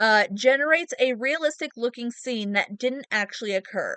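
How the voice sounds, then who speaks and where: The pitch varies in an ordinary way. The sound is dry and close, with no echo. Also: woman. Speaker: gaming content creator. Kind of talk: casual unscripted talk to viewers. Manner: halting, long pauses.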